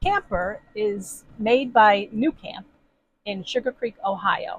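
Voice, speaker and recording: The dry, close recording with no echo captures a woman's somewhat breathy voice at medium pitch. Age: 60s. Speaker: camping vlogger. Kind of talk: casual video introduction. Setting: inside a camper.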